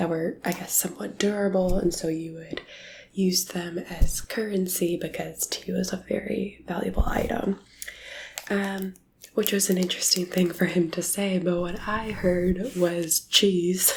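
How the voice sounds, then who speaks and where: The speaker has a relaxed tone and a fairly slow pace, with noticeable background noise behind the voice. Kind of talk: asmr whispered-soft talk to camera. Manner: soft-spoken, relaxed, friendly.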